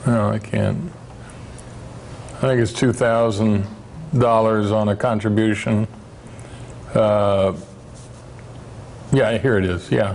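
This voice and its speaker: Over noticeable background noise, a man talks at a very slow pace with very even loudness and fairly even intonation. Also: fairly low pitch for a man. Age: 60s. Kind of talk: presentation to parents. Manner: halting, many fillers.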